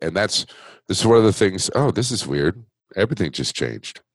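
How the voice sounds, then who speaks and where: An American-accented man with vocal fry, in a dry, close sound with no echo. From Buffalo, New York. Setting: video call, home studio.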